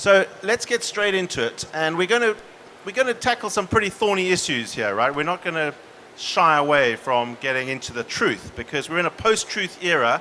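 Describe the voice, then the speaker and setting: In a South African accent, a man with a high pitch talks at a moderate pace, his voice making very wide pitch swings. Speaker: panel moderator. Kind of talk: panel discussion.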